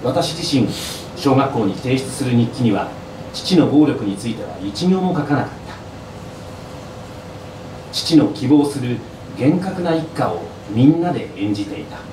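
A man's fairly high voice at a moderate pace, with long, frequent pauses, audible room echo, and light background noise. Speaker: former radio announcer. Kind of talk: live book reading at an event, reading an abuse memoir aloud. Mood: grave, somber. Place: bar.

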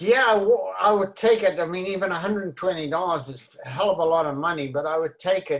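Against a quiet background, a man with a high pitch talks at a moderate pace with long, frequent pauses. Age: 80s+. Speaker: elderly man in lockdown. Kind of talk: short film dialogue, phone call. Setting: video call. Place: home room. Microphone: video call.

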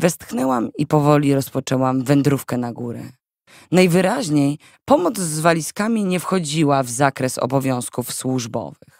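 A moderate pace against a silent background, in a very clean recording. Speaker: audiobook narrator. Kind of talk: audiobook narration, first-person novel reading. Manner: calm, steady narrator, with wry, sarcastic inner commentary.

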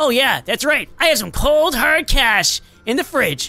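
A put-on character voice at a moderate pace plays over faint background music. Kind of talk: casual talk. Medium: role play.

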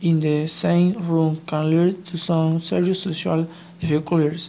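A dark, mellow tone carries a monotone, flat intonation at a moderate pace. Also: woman. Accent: non-native. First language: not English. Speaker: EFL student. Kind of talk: scripted class presentation reading.

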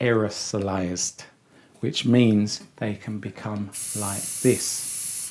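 A man talks at a very slow pace in a dark, mellow tone. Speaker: barber educator. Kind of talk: tutorial. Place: studio.

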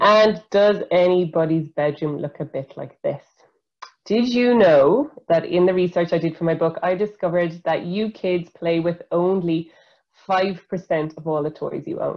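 Against a quiet background, a woman with an Irish accent speaks at a fairly slow pace and fairly low pitch, with ordinary pitch variation. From Ireland. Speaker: environmental scientist; presenter. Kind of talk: educational webinar talk for school pupils. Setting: video call webinar. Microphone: video call.

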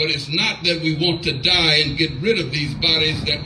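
Audible room echo surrounds a man whose fairly high voice has a bright, sharp tone.

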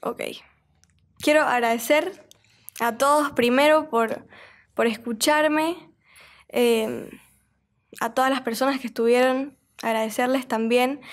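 Against a quiet background, a woman with a high pitch and fairly even intonation speaks at a very slow pace with long, frequent pauses. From Bolivia, Santa Cruz de la Sierra; Bolivia. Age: 20s. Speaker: singer; podcast guest. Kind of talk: casual interview. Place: studio. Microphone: studio mic.

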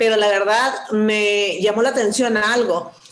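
A woman speaks with ordinary pitch variation, and room echo can be heard. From Sonora, Mexico. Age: 50s. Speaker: network marketing distributor. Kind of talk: testimony. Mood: warm, smiling, enthusiastic. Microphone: video call.

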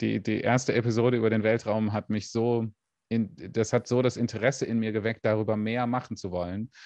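Against a quiet background, a man speaks with a fairly low pitch and monotone, flat intonation, the sound dry with no echo. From Germany. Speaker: space YouTuber. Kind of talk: interview. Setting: livestream. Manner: hesitant, many fillers. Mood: relaxed, friendly, smiling. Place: home room. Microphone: studio mic.

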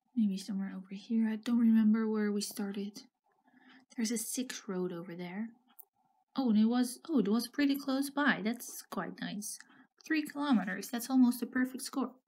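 A woman's somewhat breathy, fairly high voice at a moderate pace, in a very clean recording with a silent background. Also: ordinary pitch variation. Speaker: geography game streamer. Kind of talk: gameplay commentary, thinking aloud. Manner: musing, hesitant.

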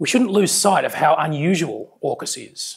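A man talks at a moderate pace, the background quiet around him. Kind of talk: prepared speech. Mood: wry, self-deprecating. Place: hall. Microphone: lapel.

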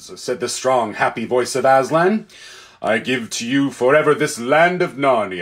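This is a natural reading voice. The text is simply read out.

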